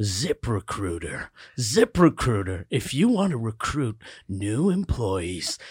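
On a very clean recording with a silent background, a man puts on a character voice at a medium pitch and a very slow pace. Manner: tense, stressed, ominous.

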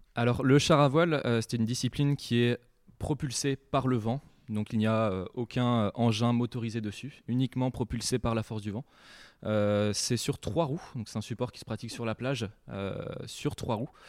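A man at a medium pitch and moderate pace, fairly even in intonation, on a very clean recording with a silent background and a dry, close sound with no echo. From Brittany, France (Saint-Malo, bay of Mont-Saint-Michel). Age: 20s. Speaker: land sailing champion and student. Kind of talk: interview before a live audience. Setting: school, in front of an audience. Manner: hesitant, frequent fillers and repetitions.

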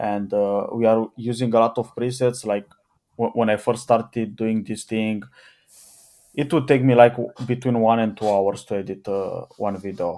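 A man with a Romanian accent speaks at a moderate pace in a dark, mellow tone with fairly even intonation. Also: medium pitch for a man. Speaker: YouTube channel owner. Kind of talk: casual chat.

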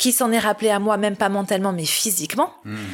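A very fast-paced woman's voice, medium in pitch, with ordinary pitch variation. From Paris, France. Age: 40s. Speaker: humanitarian worker. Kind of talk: testimony. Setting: at the host's home.

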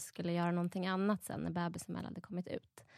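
Here a woman speaks at a fairly low pitch. The sound is dry and close, with no echo. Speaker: new mother. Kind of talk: casual chat.

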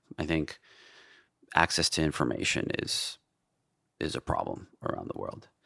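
At a moderate pace, a man with a New York accent talks with long, frequent pauses. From New York City (Queens). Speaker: tech entrepreneur and app creator. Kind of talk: casual interview conversation.

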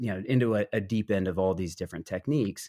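An unremarkable speaking voice from a man, fairly low in pitch with ordinary variation, in a dry, close sound with no echo. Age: 30s. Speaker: author and English teacher. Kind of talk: interview.

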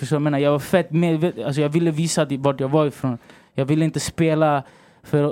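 In a very clean recording with a silent background, a man speaks at a fairly quick pace with a fairly high pitch, fairly even intonation, and a dark, mellow tone. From Sweden, Rinkeby (Stockholm), Chilean family. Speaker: songwriter and rapper. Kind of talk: casual interview chat. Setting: hotel, recording studio-like podcast setup.

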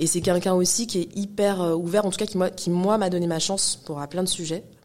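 At a fairly quick pace, a woman with a medium pitch speaks with fairly even intonation against noticeable background noise. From Paris suburbs, Val-de-Marne (94). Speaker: hip-hop cultural manager and entrepreneur. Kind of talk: interview conversation. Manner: hesitant, many fillers and repetitions.

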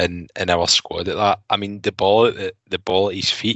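A man talks with a Glasgow accent. His pitch is fairly low, with ordinary variation. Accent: Scottish (Glasgow area). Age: 30s. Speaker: football fan pundit. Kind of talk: casual chat.

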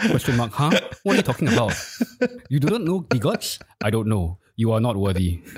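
Long, frequent pauses break up this medium-pitched man's speech, which swings very widely in pitch. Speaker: CEO and co-host. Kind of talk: casual chat about crypto news. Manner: casual, informal.

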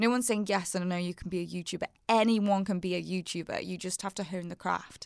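The speech comes at a very fast pace with hardly any pauses and fairly even intonation, on a very clean recording with a silent background. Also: woman, medium pitch for a woman. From the Wirral, northwest England. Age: 30s. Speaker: fashion and beauty blogger, YouTuber, podcast host. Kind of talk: casual interview chat.

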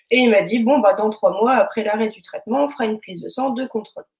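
A woman speaks at a fairly quick pace in a somewhat breathy, fairly high voice with ordinary pitch variation. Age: 20s. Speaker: leukemia survivor, preschool teacher. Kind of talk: testimony.

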